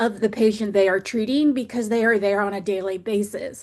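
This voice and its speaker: With fairly even intonation and a moderate pace, a woman speaks in a normal speaking voice against a quiet background. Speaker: professor and webinar presenter. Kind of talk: webinar presentation. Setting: online webinar.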